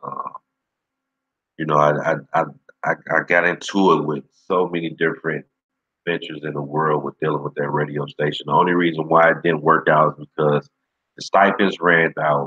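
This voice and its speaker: Very deep and low-pitched, a man speaks in a bright, sharp tone with monotone, flat intonation at a moderate pace and long, frequent pauses, the sound dry and close with no echo. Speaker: livestream host, former radio personality. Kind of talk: casual chat. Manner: laid back.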